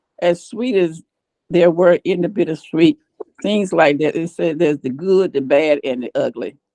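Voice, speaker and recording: With an American accent, a woman talks at a moderate pace in a fairly low voice of dark, mellow tone, the sound dry and close with no echo. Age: 70s. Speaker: author sharing life story. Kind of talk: testimony.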